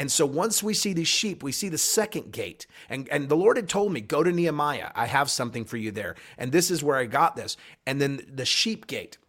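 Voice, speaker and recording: A man speaks at a fairly quick pace in an unremarkable speaking voice, fairly high-pitched with lively intonation, on a very clean recording with a silent background. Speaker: pastor. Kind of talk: prophetic podcast talk.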